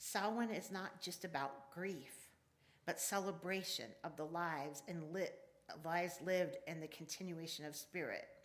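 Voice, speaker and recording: A woman talks at a moderate pace with a fairly low pitch and ordinary pitch variation. Room echo is audible. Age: 60s. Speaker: pagan elder and worship speaker. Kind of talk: sermon. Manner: halting.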